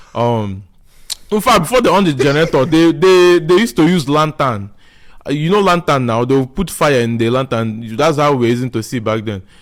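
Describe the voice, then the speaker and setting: A man with a strong southeastern Nigerian accent talks at a fairly quick pace. His fairly high pitch moves with lively intonation. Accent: Nigerian (Igbo) accent, strong. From Nigeria (Igbo, raised there from age 7). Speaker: podcast guest. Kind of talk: casual chat.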